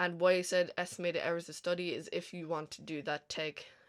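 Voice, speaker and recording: A woman's monotone, flat intonation on a very clean recording with a silent background. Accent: Irish. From Ireland, County Kilkenny. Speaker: language teacher. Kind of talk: tutorial. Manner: casual, lots of fillers.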